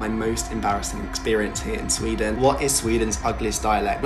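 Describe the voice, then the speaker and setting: A man at a fairly quick pace over clear background music. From Britain. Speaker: vlogger. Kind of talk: casual talk to camera. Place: home room.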